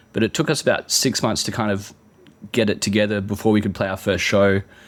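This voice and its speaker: A man with a fairly low pitch and an Australian accent is heard on a very clean recording with a silent background. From Australia (Adelaide, partly Sydney). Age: 40s. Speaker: musician. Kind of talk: interview.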